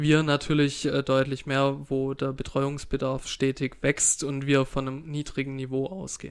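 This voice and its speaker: A man's fairly high voice with monotone, flat intonation at a fairly slow pace. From Swabia, Baden-Württemberg (Filderstadt, Esslingen district). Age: 30s. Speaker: state politician. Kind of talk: casual interview.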